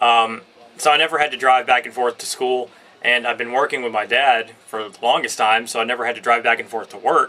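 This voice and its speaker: A man talks at a fairly quick pace at a medium pitch, his intonation fairly even. His loudness swings widely, and background noise is noticeable. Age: 20s. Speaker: vlogger. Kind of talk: casual chat. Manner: halting, many fillers.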